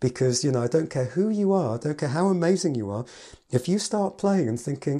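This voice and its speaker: In an English accent, a man with a fairly high pitch and a dark, mellow tone speaks with lively intonation on a very clean recording with a silent background. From England. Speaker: piano teacher and podcast host. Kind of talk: solo podcast talk.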